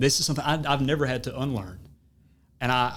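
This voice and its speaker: Speaking with an American accent, a man keeps a medium pitch at a moderate pace. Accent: Southern, low-status, somewhat attenuated. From US South. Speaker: podcast host. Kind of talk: casual chat. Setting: studio.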